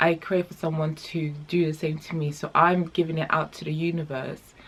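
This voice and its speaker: Speaking at a moderate pace, a woman uses a very deep, low pitch, a somewhat breathy quality and monotone, flat intonation. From The Gambia. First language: not English. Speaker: vlogger. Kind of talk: casual chat vlog; reading aloud. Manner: hesitant, many fillers.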